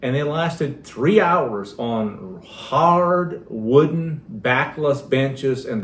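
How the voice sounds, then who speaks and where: A man's somewhat breathy voice with lively intonation and audible room echo. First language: Pennsylvania Dutch. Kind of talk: casual chat.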